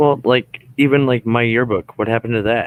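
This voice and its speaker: With a dry, close sound and no echo, a man speaks at a medium pitch with ordinary pitch variation in an unremarkable speaking voice. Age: 20s. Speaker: paranormal investigator and radio show host. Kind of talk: casual chat.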